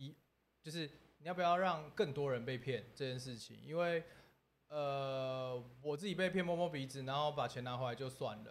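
This is a man with a normal speaking voice, pitched fairly high. He talks at a moderate pace with ordinary pitch variation. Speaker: entertainer, scam victim sharing story. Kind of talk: casual livestream chat. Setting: livestream studio.

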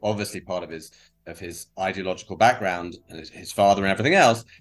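The speaker has a British accent and moves at a fairly quick pace. The background is quiet. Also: man. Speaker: protest organizer. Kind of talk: interview conversation.

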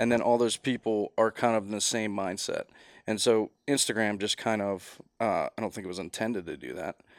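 Speaking fairly quickly in an unremarkable speaking voice, a man has a fairly low pitch and fairly even intonation. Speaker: porch building contractor. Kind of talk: casual chat.

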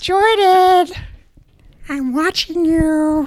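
A squeaky put-on character voice at an extremely high pitch. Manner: menacing, creepy.

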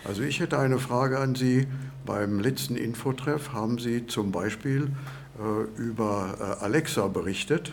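A man speaks at a fairly slow pace and medium pitch, with ordinary pitch variation and audible room echo. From Lower Saxony, Germany. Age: 70s. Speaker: retiree, course participant. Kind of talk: interview. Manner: halting, many fillers.

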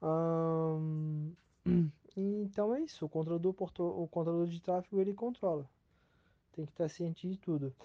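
Pitched high, a man talks at a moderate pace with fairly even intonation. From Brazil, Itajaí, Santa Catarina. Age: 20s. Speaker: port traffic controller. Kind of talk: recorded self-introduction. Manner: halting, many fillers.

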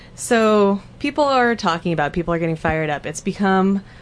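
A woman with a normal speaking voice, ordinary pitch variation and an American accent. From southern Oregon, Douglas County. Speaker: special education teacher. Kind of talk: casual chat.

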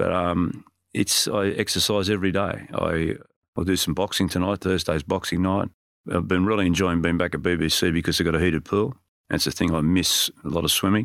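Speaking at a fairly quick pace with a very deep, low pitch and fairly even intonation, a man is heard on a very clean recording with a silent background. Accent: Australian. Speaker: strength and conditioning coach. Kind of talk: casual interview.

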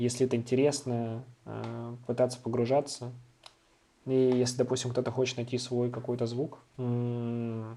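The speech moves at a moderate pace in a monotone, flat intonation. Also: man, medium pitch for a man. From Moscow, Russia. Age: 20s. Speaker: electronic music producer. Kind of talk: casual interview.

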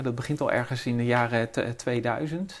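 A man with fairly even intonation and a medium pitch talks at a very slow pace. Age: 50s. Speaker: chemist and business owner. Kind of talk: interview. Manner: halting.

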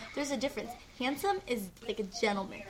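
Through noticeable background noise, a woman speaks in an animated tone. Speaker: podcast host. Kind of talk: casual chat.

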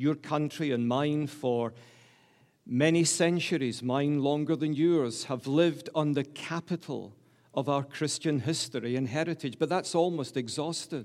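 A man with a Glasgow accent speaks at a fairly slow pace in a fairly high voice, his intonation fairly even, on a very clean recording with a silent background. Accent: Scottish (Glaswegian). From Glasgow, Scotland. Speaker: preacher. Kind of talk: sermon. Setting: church.

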